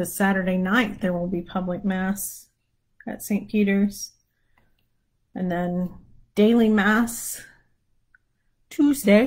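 Over a quiet background, a woman of medium pitch speaks very slowly with long, frequent pauses, a somewhat breathy voice and fairly even intonation. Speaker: prayer leader; livestream prayer host. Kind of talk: casual chat before prayer. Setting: live stream on social media. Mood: relaxed, warm. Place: home room. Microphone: lapel.

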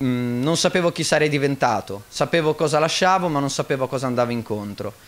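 This is a man's voice, fairly high in pitch. His pitch varies in an ordinary way. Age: 20s. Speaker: church member giving testimony. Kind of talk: testimony. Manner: halting. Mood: earnest, calm. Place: church. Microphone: studio mic.

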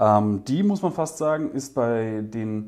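A man talks fairly slowly over a quiet background, his pitch varying in an ordinary way. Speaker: product reviewer. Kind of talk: product review talk to camera. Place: studio. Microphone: lapel.

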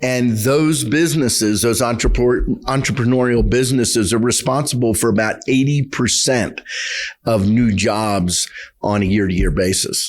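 This man has a plain, everyday voice at a medium pitch. He keeps a moderate pace with ordinary pitch variation and very even loudness. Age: 60s. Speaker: county commissioner. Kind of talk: interview.

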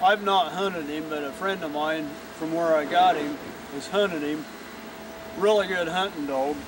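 A man's fairly even intonation, with noticeable background noise and a dry, echo-free sound. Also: moderate pace. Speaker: dog trainer. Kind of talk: tutorial. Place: garden. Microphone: camera far.

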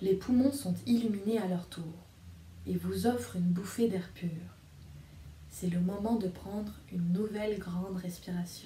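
Soft-spoken and somewhat breathy, a woman with a gentle, calm tone and a dark, mellow tone speaks with fairly even intonation and long, frequent pauses, over light background noise and audible room echo. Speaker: storyteller and video reader. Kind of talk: guided meditation. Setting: video recording addressed to viewers. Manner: soft, slow and soothing; gentle, calm, hypnotic pacing with pauses. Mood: calm, soothing. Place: home room. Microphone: phone near.

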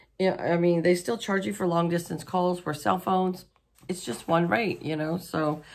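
The speaker is a woman with a fairly low voice. Her pitch varies in an ordinary way. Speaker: home vlogger. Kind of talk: casual vlog chat. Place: home room.

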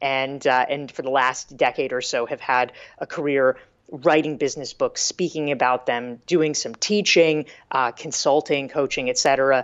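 Here a woman speaks with a very deep, low pitch and fairly even intonation. She goes at a fairly slow pace over a quiet background. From US South, North Carolina. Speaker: business author and professor; professor. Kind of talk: casual interview chat. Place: home room. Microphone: earbuds.

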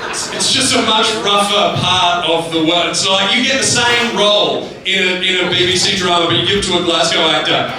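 A man's raised, projected voice at a high pitch, with ordinary pitch variation, strong room echo and noticeable background noise. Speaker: stand-up comedian. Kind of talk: stand-up comedy set. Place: stage.

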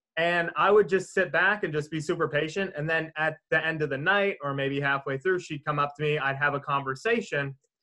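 A man's bright, sharp voice at a fairly quick pace, with hardly any pauses, ordinary pitch variation, and a quiet background. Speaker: podcast co-host. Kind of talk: casual podcast chat. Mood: relaxed, amused. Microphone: video call.

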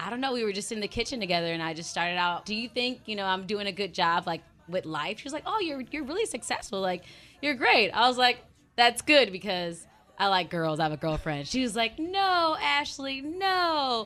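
A woman speaks at a fairly quick pace with very wide pitch swings. Her tone is bright, sharp and animated. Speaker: radio co-host and audio producer; radio co-host. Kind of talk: casual on-air chat. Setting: radio studio. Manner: animated, jokey. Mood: emotional, heartfelt farewell. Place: studio. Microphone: studio mic.

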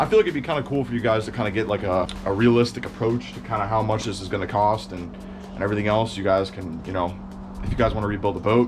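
A very fast pace with ordinary pitch variation and faint music in the background. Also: man. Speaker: boat restoration vlogger. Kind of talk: casual vlog chat. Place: garage. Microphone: phone near.

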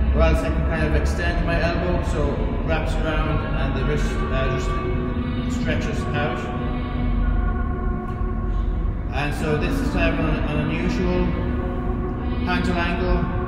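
A man speaks at a fairly slow pace with long, frequent pauses and ordinary pitch variation. Clear music plays in the background, and room echo is audible. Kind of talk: casual tutorial. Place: garage. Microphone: camera far.

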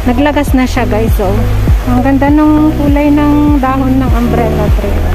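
Loud music plays in the background as a woman talks at a very slow pace. The sound is dry, with no echo. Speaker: travel vlogger. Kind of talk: casual vlog chat. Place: waterside. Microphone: phone near.

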